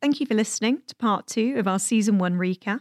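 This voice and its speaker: A woman speaks at a fairly quick pace in a plain, everyday voice. Her pitch varies in an ordinary way. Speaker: podcast host and chamber of commerce chief executive. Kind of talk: scripted narration and interview.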